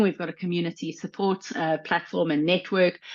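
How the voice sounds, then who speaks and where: A woman with a South African accent and ordinary pitch variation. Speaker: educational psychologist and coach trainer. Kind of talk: live online panel discussion. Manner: halting, many fillers.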